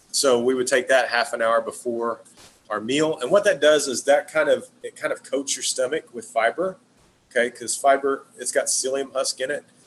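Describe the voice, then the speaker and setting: There is noticeable background noise while a man speaks. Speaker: wellness product distributor. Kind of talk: webinar presentation. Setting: live stream. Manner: fast.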